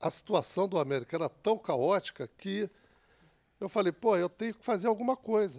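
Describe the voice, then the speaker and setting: A man speaks at a high pitch with lively intonation. His pace is moderate against a quiet background. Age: 50s. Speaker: samba school president; radio guest. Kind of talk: casual chat. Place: studio. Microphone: handheld.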